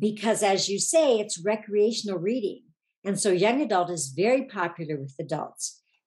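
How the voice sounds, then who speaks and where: With an American accent, a woman uses a normal speaking voice at medium pitch and a moderate pace, her intonation lively. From Oregon, US Pacific Northwest. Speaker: author. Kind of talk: interview.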